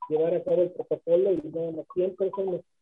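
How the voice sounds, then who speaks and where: The speaker has a Mexican accent, a moderate pace and a monotone, flat intonation. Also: man. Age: 70s. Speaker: rock drummer and band founder. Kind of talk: radio interview.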